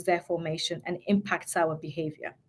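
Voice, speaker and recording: A woman's somewhat breathy voice. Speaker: change management expert and mindset coach. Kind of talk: webinar presentation. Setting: online webinar. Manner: fast.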